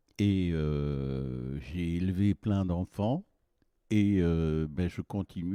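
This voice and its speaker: This man's very deep, low voice has a dark, mellow tone and ordinary pitch variation, captured with a dry, close sound and no echo. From northern France, Boulogne-sur-Mer. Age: 70s. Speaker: essential oil producer. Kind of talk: interview. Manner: halting.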